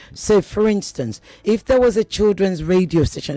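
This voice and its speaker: The talking proceeds at a moderate speed. Behind it, music is playing. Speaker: radio personality. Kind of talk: radio talk show interview. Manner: animated.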